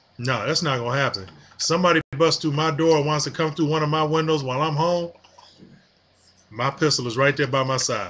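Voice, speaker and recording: A man talks with an American accent at a moderate pace. His pitch varies in an ordinary way, and there is noticeable background noise. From Detroit, Michigan, US. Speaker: gun owner vlogger. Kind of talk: casual vlog rant. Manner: animated, repetitive fillers.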